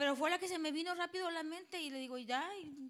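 A woman speaks with a Mexican accent at an extremely high pitch, her pitch varying in an ordinary way. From Mexico. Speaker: preacher. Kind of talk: sermon with live interpretation.

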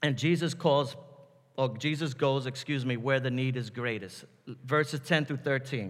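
With a New York accent, a man talks at a moderate pace in a medium pitch with ordinary pitch variation. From New York City, the Bronx. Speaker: pastor. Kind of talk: sermon.

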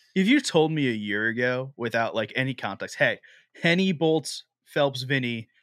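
A man's a normal speaking voice at medium pitch and ordinary pitch variation, at a moderate pace, in a very clean recording with a silent background and a dry, close sound with no echo. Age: 20s. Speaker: esports podcast host. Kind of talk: casual chat.

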